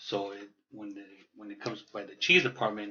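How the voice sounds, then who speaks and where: This man talks at a moderate pace, his voice fairly low. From Los Angeles (East/South LA), Mexican-American. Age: 30s. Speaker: beer enthusiast, podcast guest. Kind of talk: casual chat.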